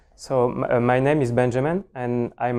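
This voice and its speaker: With a French accent, a man speaks at a moderate pace in a medium-pitched voice with a dark, mellow tone. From France. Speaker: cloud solutions architect, conference speaker. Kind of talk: technical conference talk. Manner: hesitant, many fillers.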